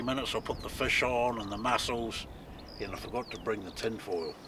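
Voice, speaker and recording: A man with a New Zealand accent speaks fairly quickly in a relaxed tone at a medium pitch. His intonation is fairly even, and there is noticeable background noise. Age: 60s. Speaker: outdoor cooking vlogger. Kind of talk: casual vlog narration. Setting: outdoors on a beach. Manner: relaxed, conversational.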